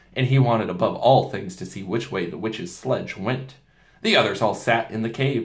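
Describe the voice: The text is read aloud plainly. Its pitch moves in an ordinary way.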